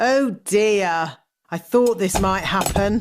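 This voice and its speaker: Using a put-on character voice, a woman speaks very slowly at a medium pitch with ordinary pitch variation and a rumbling quality. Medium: cartoon. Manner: grumbling.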